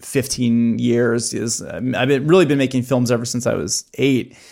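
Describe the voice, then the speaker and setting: A man with an American accent and a normal speaking voice talks at a moderate pace and medium pitch in a very clean recording with a silent background. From US Midwest. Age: 30s. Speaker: documentary filmmaker and YouTube channel founder. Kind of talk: casual interview chat.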